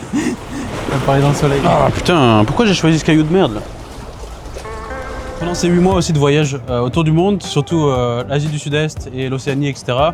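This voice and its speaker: Music plays behind a man talking at a moderate pace. His voice sits fairly high, with ordinary pitch variation. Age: 20s. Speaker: travel vlogger. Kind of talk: casual vlog monologue. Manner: casual, hesitant with fillers.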